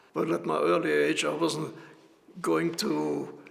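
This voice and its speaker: With noticeable background noise behind him, a man delivers his words at a very slow pace. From Austria, Vienna. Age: 80s+. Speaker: Holocaust survivor, grandfather. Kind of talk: personal testimony.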